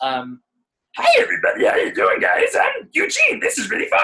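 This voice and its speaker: This put-on character voice has an extremely high pitch and moves at a moderate pace. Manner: cheerful, friendly.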